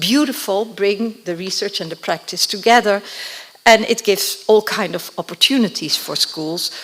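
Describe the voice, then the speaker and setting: With a Dutch accent, a woman talks at a moderate pace and medium pitch, her pitch varying in an ordinary way, over noticeable background noise. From Netherlands. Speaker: education researcher. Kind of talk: conference presentation.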